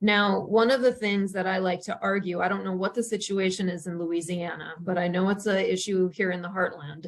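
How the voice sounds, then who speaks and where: Here a woman talks with a North Dakota accent. Her pace is fairly quick and her intonation fairly even. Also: medium pitch for a woman. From western North Dakota. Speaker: journalism professor. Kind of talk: webinar presentation.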